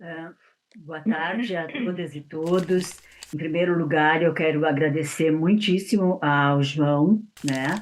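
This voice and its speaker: A woman talks at a very slow pace with a fairly low pitch. Her loudness swings widely. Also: ordinary pitch variation. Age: 60s. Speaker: writer and abuse survivor. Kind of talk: interview testimony. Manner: halting, many repetitions and fillers.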